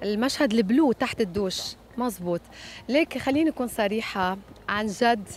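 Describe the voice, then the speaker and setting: Light background noise sits under a dry sound with no echo. A woman speaks at a fairly slow pace with ordinary pitch variation. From Lebanon. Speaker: singer. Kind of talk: interview. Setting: hotel. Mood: lively, candid. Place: waterside. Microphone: handheld.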